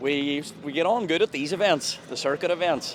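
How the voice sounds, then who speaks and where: Over background music, a man with a Donegal accent speaks at a high pitch with ordinary pitch variation. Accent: Donegal Irish. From Donegal, Ireland (Inishowen). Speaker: rally driver. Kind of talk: interview.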